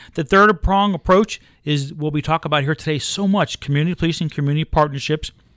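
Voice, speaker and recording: On a very clean recording with a silent background and a dry, close sound with no echo, a man with an American accent talks very fast at a fairly high pitch with ordinary pitch variation. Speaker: county sheriff. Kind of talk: interview.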